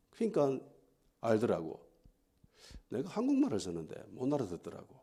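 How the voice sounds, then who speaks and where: The pace of this man's speech is moderate. An echo from the room can be heard. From Gyeongsang region, South Korea. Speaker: pastor. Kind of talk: sermon. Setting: church.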